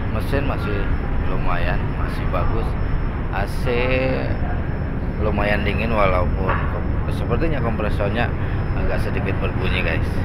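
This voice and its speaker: With loud background noise behind him, a man speaks at a fairly slow pace, leaving long, frequent pauses. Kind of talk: casual vlog chat. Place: boat. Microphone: phone near.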